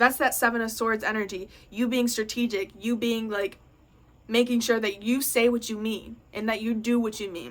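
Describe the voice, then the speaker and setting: A woman talks in a fairly high pitch. Her intonation is monotone and flat. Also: moderate pace. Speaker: tarot reader. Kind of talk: pick-a-card tarot reading. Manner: casual.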